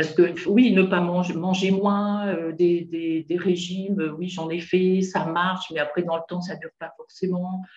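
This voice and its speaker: Slowish and monotone, a woman speaks in a fairly low pitch with flat intonation. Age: 60s. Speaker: retired nurse, coaching client. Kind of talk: interview testimony. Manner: hesitant, many fillers.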